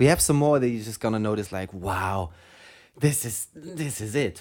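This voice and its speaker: Fairly quick speech with a German accent on a very clean recording with a silent background. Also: man. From Germany. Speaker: radio host. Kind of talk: casual chat.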